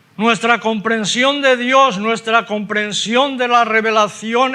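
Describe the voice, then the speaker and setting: Raising and projecting his voice, a man speaks at an extremely high pitch with a bright, sharp tone and fairly even intonation. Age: 70s. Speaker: preacher. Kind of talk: sermon.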